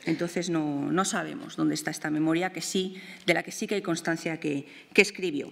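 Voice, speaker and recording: A woman's fairly low voice shows ordinary pitch variation and big swings in loudness. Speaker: art historian and museum researcher; art researcher lecturer. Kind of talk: lecture. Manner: hesitant with fillers and repetitions. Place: hall. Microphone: podium.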